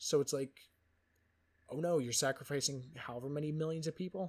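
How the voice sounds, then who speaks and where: A somewhat breathy man talks at a fairly quick pace with fairly even intonation. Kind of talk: casual unedited book review. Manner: rambling, profane, hesitant.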